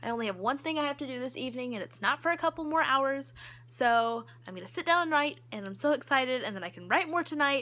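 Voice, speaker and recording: A raised, projected voice with lively intonation at a very fast pace, broken by long, frequent pauses, on a very clean recording with a silent background. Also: woman. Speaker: book vlogger. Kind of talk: casual vlog.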